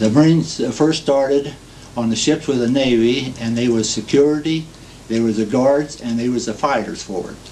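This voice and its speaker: Speaking with a Midwestern US accent, a man at a medium pitch shows ordinary pitch variation at a moderate pace amid noticeable background noise. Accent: US Midwest. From Ohio. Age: 60s. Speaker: war veteran. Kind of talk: oral history testimony. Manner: halting, many fillers.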